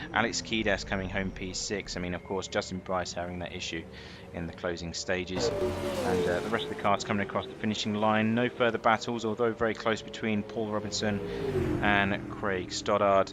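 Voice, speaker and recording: Against noticeable background noise, a man speaks fairly quickly in a British accent, his fairly low pitch showing ordinary variation. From Britain. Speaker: sim racing commentator. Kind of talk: live commentary. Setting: commentary booth.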